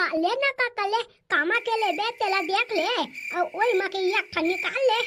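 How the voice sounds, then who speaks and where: A woman puts on a cartoonish character voice at an extremely high pitch with ordinary pitch variation. She talks at a fairly quick pace, her loudness very even. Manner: cheeky, teasing.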